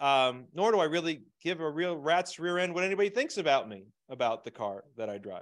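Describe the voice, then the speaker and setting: Talking at a fairly quick pace with an American accent, the man uses very wide pitch swings at a fairly high pitch. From Pennsylvania, Scranton. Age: 50s. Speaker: small business coach. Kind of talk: webinar interview. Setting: video call.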